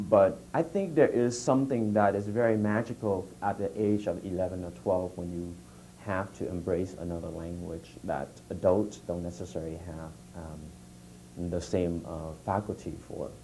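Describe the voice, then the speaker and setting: Using a Vietnamese accent, a man with a very deep, low pitch and a dark, mellow tone speaks at a moderate pace with ordinary pitch variation. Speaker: writer and editor. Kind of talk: guest talk to students. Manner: hesitant, many fillers.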